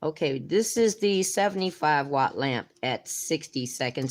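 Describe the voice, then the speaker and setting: A very clean recording of a woman, the background silent. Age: 60s. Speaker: nail art youtuber. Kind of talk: live stream chat and tutorial. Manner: casual, chatty.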